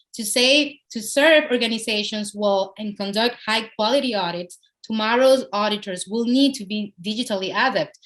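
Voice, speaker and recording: In a Spanish accent, a woman with a fairly high pitch speaks at a moderate pace with ordinary pitch variation and hardly any pauses. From Dominican Republic. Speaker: software company international development head. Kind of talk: podcast interview answer.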